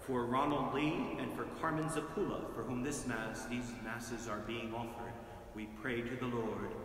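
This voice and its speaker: Speech at a moderate pace with fairly even intonation comes through with audible room echo and light background noise. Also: man. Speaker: priest. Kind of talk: fervent intercessory prayer, solemn and earnest, read in a steady liturgical cadence. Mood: calm, solemn. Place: church. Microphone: camera far.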